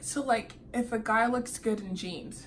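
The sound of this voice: Over faint background noise, a woman talks at a fairly slow pace, her fairly high pitch showing ordinary variation.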